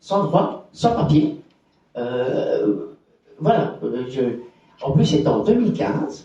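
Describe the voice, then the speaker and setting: Very slow and broken by long, frequent pauses, a man's fairly high voice makes very wide pitch swings amid audible room echo. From Belgium, Borinage (Hainaut). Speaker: activist for homeless people's rights. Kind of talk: conference testimony. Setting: conference with audience. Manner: halting, many repetitions.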